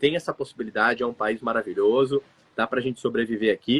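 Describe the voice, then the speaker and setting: A man's medium-pitched, a plain, everyday voice, with fairly even intonation. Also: dry, close sound with no echo. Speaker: migration consultancy director. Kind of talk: live stream conversation. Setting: live stream with remote guest.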